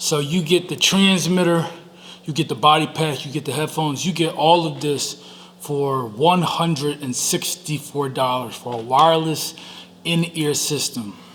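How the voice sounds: At a fairly slow pace, a man speaks with a fairly high pitch, ordinary pitch variation and a fairly bright tone.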